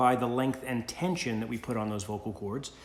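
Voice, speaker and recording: Talking at a fairly quick pace, a man is heard with audible room echo. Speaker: college instructor. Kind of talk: recorded lecture. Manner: loud; casual, halting with fillers.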